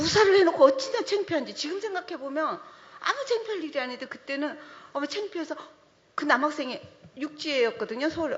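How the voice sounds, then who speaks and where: A woman's high voice at a fairly quick clip, pitch swinging very widely, over noticeable background noise. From Jeju Island, South Korea. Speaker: trail organization director, panelist. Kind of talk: panel discussion.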